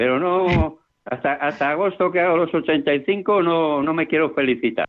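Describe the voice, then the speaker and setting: A man's high-pitched voice with lively intonation, very even loudness and a fairly slow pace. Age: 80s+. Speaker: elderly radio caller. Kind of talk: phone-in call. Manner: halting.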